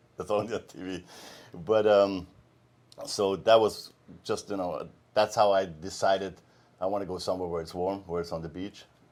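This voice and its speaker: A man with a German accent speaks at a fairly low pitch with monotone, flat intonation, long, frequent pauses and big swings in loudness. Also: moderate pace. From Austria, small mountain town. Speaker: med spa co-founder, massage therapist. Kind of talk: interview.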